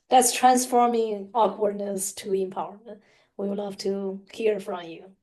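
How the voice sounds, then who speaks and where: The speaker has a non-native accent, a dark, mellow tone and monotone, flat intonation. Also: woman. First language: not English. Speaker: podcast co-host. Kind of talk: casual chat. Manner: halting, many fillers.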